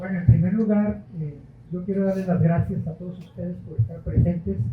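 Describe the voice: Audible room echo surrounds speech delivered at a moderate pace with fairly even intonation. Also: man, high pitch for a man.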